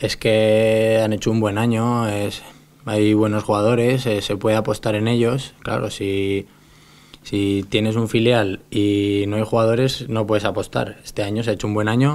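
A man talks at a fairly slow pace in a fairly low pitch. His intonation is monotone and flat. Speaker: professional footballer. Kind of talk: press conference. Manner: halting. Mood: calm, measured. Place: meeting room. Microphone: podium.

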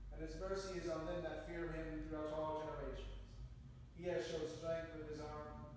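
Moderate pace amid strong room echo and light background noise. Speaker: prayer leader. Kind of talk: liturgical evening prayer with scripture readings and psalms; fervent, solemn prayer. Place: church. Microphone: camera far.

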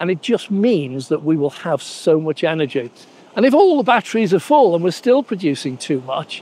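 With a high pitch and very wide pitch swings, a man talks at a moderate pace in a dry sound with no echo. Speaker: vlogger. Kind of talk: casual vlog chat. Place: beach. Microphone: lapel.

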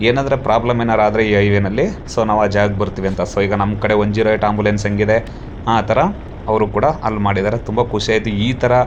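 A man with a fairly low pitch talks at very even loudness against noticeable background noise. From southern Karnataka, Mysuru district. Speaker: travel vlogger. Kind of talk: travel vlog narration. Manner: animated.

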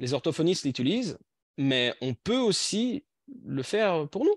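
Very wide pitch swings at a fairly slow pace, over a quiet background, in dry sound with no echo. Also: man. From Belgium. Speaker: language teacher trainer. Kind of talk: online workshop presentation. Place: home room. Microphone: video call.

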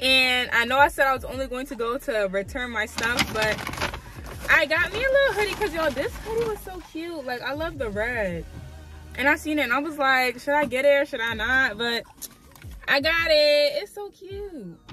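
Over clear music in the background, a woman uses a raised, projected voice at a moderate pace in a dry sound with no echo. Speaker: vlogger. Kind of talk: casual vlog chat. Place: car. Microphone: phone near.

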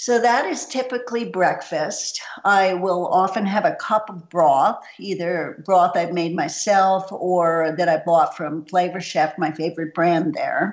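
In an ordinary speaking voice, a woman talks at a fairly slow pace with hardly any pauses, using a medium pitch and ordinary pitch variation. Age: 60s. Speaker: nutritionist. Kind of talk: interview.

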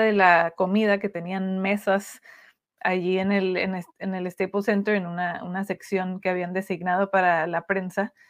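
A woman talks at a fairly slow pace with a medium pitch and flat, monotone intonation. The background is quiet. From Tijuana, Mexico; Mexico. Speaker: sports journalist. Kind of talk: interview. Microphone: video call.

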